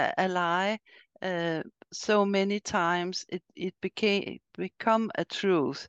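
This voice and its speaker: In a Swedish accent, a woman at medium pitch speaks very slowly with fairly even intonation, recorded dry and close with no echo against a quiet background. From Sweden. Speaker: podcast host and riding coach. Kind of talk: interview. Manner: halting.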